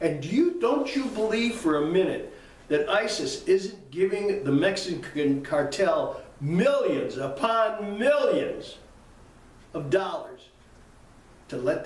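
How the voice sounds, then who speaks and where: Very wide pitch swings in an American accent, with audible room echo. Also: man. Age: 80s+. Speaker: political commentator. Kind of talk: political commentary. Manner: animated; halting.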